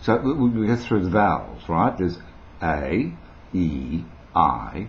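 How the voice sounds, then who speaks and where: A man's voice swings very widely in pitch. The room echo is audible. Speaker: vlogger, former radio broadcaster. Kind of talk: casual tutorial to camera. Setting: home video recorded on a new camera. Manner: rambling, relaxed, with many fillers.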